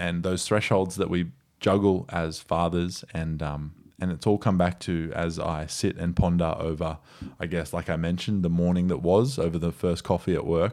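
A man with an Australian accent speaks in a very deep, low voice. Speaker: podcast host. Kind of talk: casual chat. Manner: animated, energetic.

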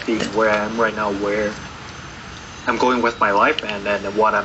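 Against noticeable background noise, a man talks at a moderate pace with monotone, flat intonation. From Taiwan. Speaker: recovering addict sharing his story. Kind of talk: interview testimony. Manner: halting, many repetitions.

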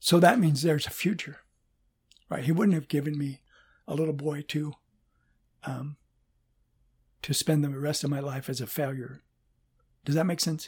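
A man's fairly high, somewhat breathy voice at a moderate pace, with fairly even intonation and long, frequent pauses. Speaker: pastor and father of the co-host. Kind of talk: casual interview.

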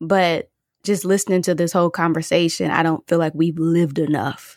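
A woman with a fairly low pitch talks in an ordinary speaking voice, her intonation fairly even and her loudness very even. The recording is very clean, with a silent background. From Michigan. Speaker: podcast co-host. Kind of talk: casual chat.

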